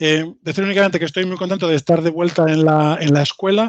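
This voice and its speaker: The delivery is very fast with fairly even intonation. The sound is dry and close, with no echo. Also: man. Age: 40s. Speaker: IT engineer, invited speaker. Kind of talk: lecture. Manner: halting, many fillers and repetitions.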